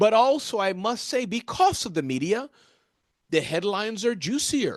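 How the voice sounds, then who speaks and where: The man's voice is high and animated, with very wide pitch swings. He keeps a moderate pace against a quiet background. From US Midwest. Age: 50s. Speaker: motivational keynote speaker. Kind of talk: interview conversation.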